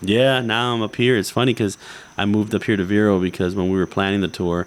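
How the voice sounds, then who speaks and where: Talking at a very fast pace, a man with an American accent keeps a fairly low pitch and fairly even intonation. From South Florida. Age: 30s. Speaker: fishing artist. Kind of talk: podcast interview chat.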